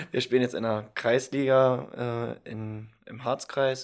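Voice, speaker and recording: A man speaks very slowly at a medium pitch with ordinary pitch variation, in a very clean recording with a silent background. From Saxony-Anhalt, Germany (Halberstadt). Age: 20s. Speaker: insurance trainee. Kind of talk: casual chat.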